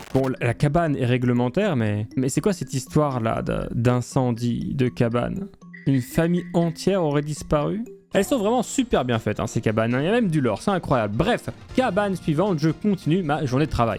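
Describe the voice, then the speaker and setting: A man's voice sits at a fairly high pitch, moving in very wide pitch swings. Music plays in the background. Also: moderate pace, very even loudness. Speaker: YouTuber, gaming narrator. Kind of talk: gameplay commentary. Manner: casual, joking.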